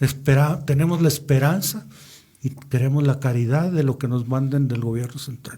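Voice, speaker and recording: Pitched fairly high, a man talks at an even tempo with fairly level intonation as noticeable noise sits behind him. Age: 70s. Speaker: engineer, participant in a historic movement. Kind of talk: radio interview.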